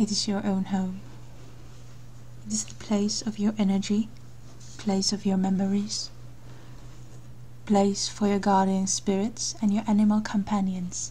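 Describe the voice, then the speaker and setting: This speaker is soft-spoken. The delivery is fairly slow. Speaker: meditation guide. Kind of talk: guided meditation.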